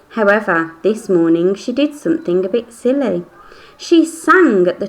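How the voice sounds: Reading in a natural voice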